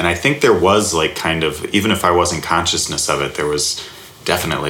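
Audible room echo and noticeable background noise surround a man with an American accent and a very deep, low pitch. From US South, Alabama. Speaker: comedy writer and sketch teacher. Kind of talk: casual interview. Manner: halting, many fillers.

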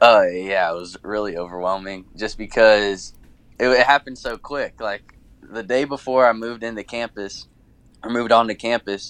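With an American accent, a man uses an ordinary speaking voice at a fairly low pitch, with ordinary pitch variation, big swings in loudness, and a moderate pace. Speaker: college basketball player. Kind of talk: casual interview.

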